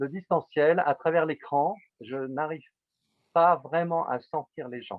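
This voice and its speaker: A man talks very slowly, leaving long, frequent pauses. His loudness rises and falls sharply. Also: fairly high pitch for a man, ordinary pitch variation. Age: 60s. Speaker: psychotherapist. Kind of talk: interview. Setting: video call. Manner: halting.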